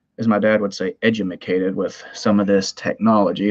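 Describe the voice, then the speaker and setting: Talking at a fairly quick pace, a man with a Southern US accent speaks in a fairly low pitch. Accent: Southern twang. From US South, Tennessee. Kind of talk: live stream chat. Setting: live stream from home computer. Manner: casual, rambling with fillers.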